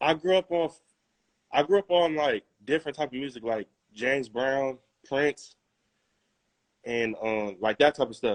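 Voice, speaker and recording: With an American accent and a fairly high voice, a man talks at a moderate pace with ordinary pitch variation and long, frequent pauses, the sound dry and close with no echo. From California, Moreno Valley. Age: 20s. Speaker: rapper. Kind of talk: interview. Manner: halting.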